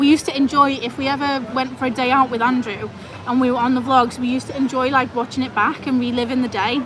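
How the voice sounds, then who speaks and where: A loud, fairly quick voice amid noticeable background noise and audible room echo. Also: woman. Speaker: travel vlogger; vet nurse. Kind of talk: live stream chat. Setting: restaurant, live stream.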